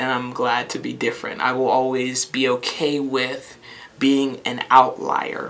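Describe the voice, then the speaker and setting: Against noticeable background noise, a woman with an American accent speaks fairly slowly at a very deep, low pitch, her intonation monotone and flat. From western Pennsylvania, US. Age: young. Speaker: academic counselor. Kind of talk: interview testimony.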